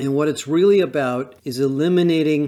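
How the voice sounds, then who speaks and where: A man talks at a moderate pace in an unremarkable speaking voice, on a very clean recording with a silent background. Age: 60s. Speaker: industry analyst. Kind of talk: solo talk.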